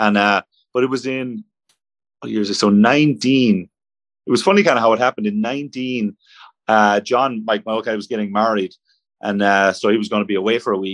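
Over a quiet background, a man with an Irish accent speaks at a moderate pace in a fairly low pitch with fairly even intonation and long, frequent pauses, the sound dry and close with no echo. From Ireland. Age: 30s. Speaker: professional golfer. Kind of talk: casual interview. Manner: halting.

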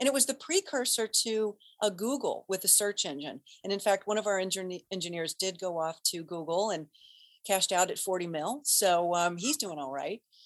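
A woman talks at a moderate pace with an American accent, medium pitch and lively intonation, in a dry, close sound with no echo. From US Midwest (Cincinnati, Ohio). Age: 50s. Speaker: actress and voice-over artist. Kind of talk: casual chat.

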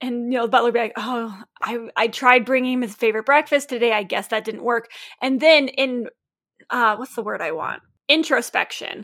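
A woman talks loudly at a fairly quick pace. Her voice is high-pitched, with ordinary pitch variation. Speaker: podcast co-host, author. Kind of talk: casual chat, podcast on writing. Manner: loud, talkative; playful, jokey.

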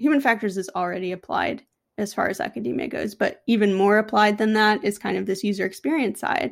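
In a normal speaking voice with an American accent and ordinary pitch variation, the speaker is heard on a very clean recording with a silent background. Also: woman. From US Northeast, Albany, New York. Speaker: UX consultant. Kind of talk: interview.

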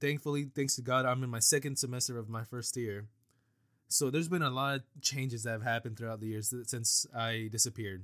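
Over a silent background on a very clean recording, a man talks at a very fast pace with a medium pitch and fairly even intonation. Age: 20s. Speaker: podcast host. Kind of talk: solo podcast monologue. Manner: casual, laughs often.

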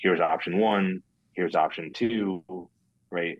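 A man's low voice at a moderate pace with fairly even intonation.

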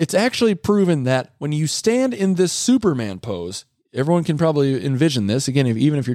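In a very clean recording with a silent background, a man speaks with an animated, energetic tone, very wide pitch swings and a moderate pace. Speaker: sales podcast host and trainer. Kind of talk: solo podcast monologue. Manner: frequent fillers and repetitions.

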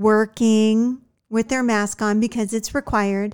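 A woman with an American accent and an ordinary speaking voice talks at a moderate pace and a fairly high pitch on a very clean recording with a silent background. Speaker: podcast host. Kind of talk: casual chat.

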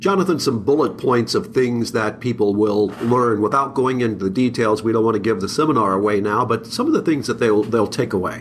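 A man's voice at very even loudness with hardly any pauses, over noticeable background noise. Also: medium pitch for a man, ordinary pitch variation, fairly quick pace. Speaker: podcast host. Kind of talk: interview podcast. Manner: enthusiastic.

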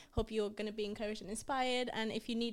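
A woman with a Geordie accent talks at a very fast pace in a fairly high pitch. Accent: Geordie (northern English). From Romania. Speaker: youth leader. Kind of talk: casual chat.

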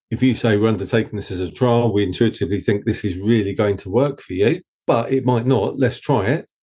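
In an Essex accent, a man talks at a fairly quick pace with hardly any pauses, a medium pitch and ordinary pitch variation. His tone is dark, mellow and somewhat breathy, and the background is quiet. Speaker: agency founder. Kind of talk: interview conversation.

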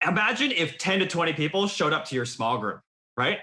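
The speaker uses a raised, projected voice at a fairly quick pace. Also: man. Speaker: podcast host. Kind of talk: casual chat.

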